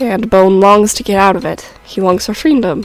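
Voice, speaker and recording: A woman talks at a fairly quick pace with music in the background. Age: young. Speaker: amateur animator. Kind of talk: story explanation talk to viewers.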